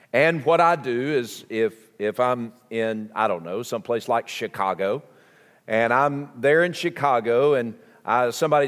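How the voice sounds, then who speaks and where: Recorded very cleanly against a silent background, a man speaks in a Southern US accent with ordinary pitch variation. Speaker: pastor. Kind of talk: sermon. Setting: church.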